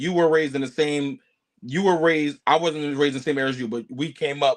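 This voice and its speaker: Here a man talks at a fairly quick pace with an American accent. His pitch is fairly high, with ordinary variation. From Philadelphia, US. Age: 20s. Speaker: professional boxer and content creator. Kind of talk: podcast interview.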